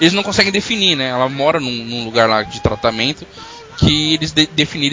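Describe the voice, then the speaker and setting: Over noticeable background noise, a man speaks fairly quickly at a fairly high pitch with lively intonation. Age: 30s. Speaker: podcast host. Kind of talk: casual chat.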